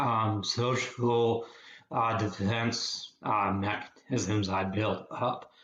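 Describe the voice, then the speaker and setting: A man's monotone, flat delivery at medium pitch and a very slow pace, with audible room echo and noticeable background noise. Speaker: psychotherapist. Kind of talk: interview. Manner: halting.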